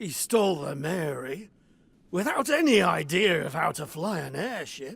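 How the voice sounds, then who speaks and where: Putting on a character voice, a man speaks at a moderate pace in a raspy, high pitch. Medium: video game. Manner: sardonic, blunt.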